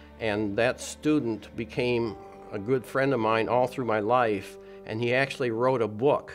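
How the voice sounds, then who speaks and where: Over clear music in the background, a man talks at a fairly slow pace with ordinary pitch variation. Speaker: former schoolmate and interviewee. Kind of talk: interview answer. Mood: warm, reflective reminiscing. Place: home room.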